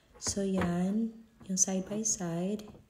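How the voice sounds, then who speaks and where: A woman talks in a medium pitch with a dark, mellow tone that is somewhat breathy. Her intonation is monotone and flat. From Visayas, Philippines. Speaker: vlogger. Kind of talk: product unboxing review. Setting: at home. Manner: casual, code-switching Tagalog and English.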